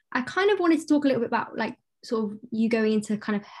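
This woman has a British accent and a fairly high pitch. She talks at a fairly quick pace and sounds somewhat breathy. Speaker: podcast host. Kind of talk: casual interview chat.

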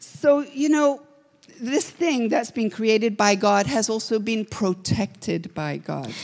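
At a very slow pace, a woman speaks in a fairly high pitch. Her pitch swings very widely. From Kenya, Nairobi. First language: English or Swahili, not Slovak (speaking Slovak). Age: 60s. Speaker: guest preacher. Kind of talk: sermon.

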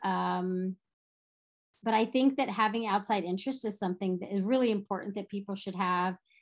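A woman talks at a fairly quick pace in a medium pitch. Her intonation is fairly even, and the background is quiet. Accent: American. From Texas. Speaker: nonprofit founder and vegan activist. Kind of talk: interview.

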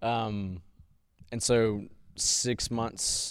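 This man has an American accent. His intonation stays fairly even, and the recording is very clean against a silent background. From US South. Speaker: podcast host. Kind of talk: casual chat.

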